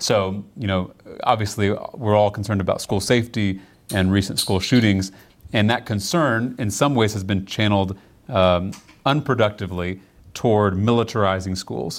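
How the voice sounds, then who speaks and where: In a very clean recording with a silent background, a man talks at a moderate pace. He has an unremarkable speaking voice, fairly low in pitch, with ordinary pitch variation. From Texas, Round Rock near Austin. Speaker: state legislator, former teacher. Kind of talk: political interview. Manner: frequent filler words (um, uh, you know).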